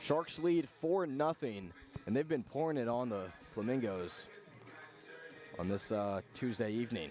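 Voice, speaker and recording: Music plays in the background as a man at medium pitch speaks at a fairly slow pace, with very wide pitch swings and long, frequent pauses. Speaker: radio baseball play-by-play announcer. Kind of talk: live sports radio play-by-play commentary. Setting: outdoors at a baseball stadium broadcast booth.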